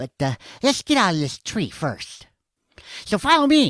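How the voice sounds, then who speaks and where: In a very clean recording with a silent background, a put-on character voice with a fairly high pitch and very wide pitch swings moves at a moderate pace. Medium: read story. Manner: chatty, casual.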